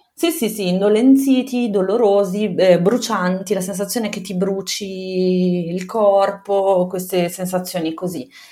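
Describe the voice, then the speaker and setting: A woman with a plain, everyday voice, at a fairly slow pace, with fairly even intonation and hardly any pauses. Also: medium pitch for a woman. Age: 30s. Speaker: mother telling her birth story. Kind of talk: personal testimony in interview.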